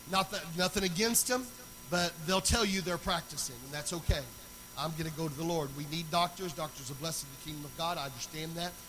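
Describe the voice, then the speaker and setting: Speech comes at a very fast pace with ordinary pitch variation. Noticeable background noise is present. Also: man, high pitch for a man. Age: 40s. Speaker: pastor. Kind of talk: sermon.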